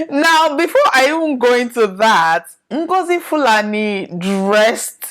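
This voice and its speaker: In a Nigerian accent, a woman speaks at a very slow pace. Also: very clean recording, silent background. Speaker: podcast host. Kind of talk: casual monologue commentary.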